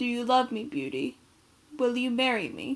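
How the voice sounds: Using a put-on character voice, a woman sounds gruff at a high pitch, with fairly even intonation and a moderate pace.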